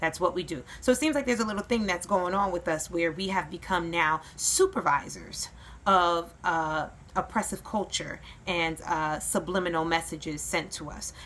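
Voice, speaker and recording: A woman talks at a moderate pace in a fairly low pitch, her voice showing vocal fry and ordinary pitch variation. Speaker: YouTube commentator. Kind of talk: opinion vlog.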